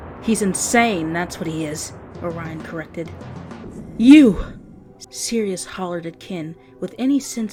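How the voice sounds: This is a natural reading voice. It is the only trait noted.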